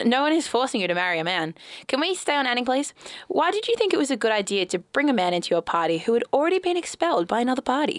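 This woman has a high pitch and talks at a very fast pace, her loudness very even. Her pitch swings very widely. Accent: Australian. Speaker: radio co-host. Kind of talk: comedy news show.

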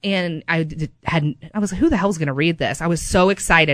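A woman with an American accent speaks at a fairly quick pace in a normal speaking voice, her fairly low pitch moving with ordinary variation on a very clean recording with a silent background. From Kansas City area. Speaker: local history podcast co-host. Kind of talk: casual chat.

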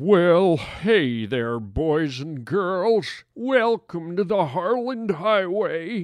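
Putting on a character voice, a man speaks with a high pitch at a very slow pace. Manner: folksy, creepy.

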